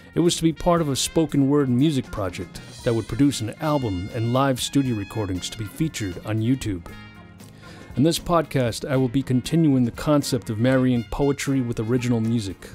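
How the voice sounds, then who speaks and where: A man talks fairly quickly over background music. His voice sits at a medium pitch and varies in an ordinary way. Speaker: poet and music composer. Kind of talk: podcast introduction.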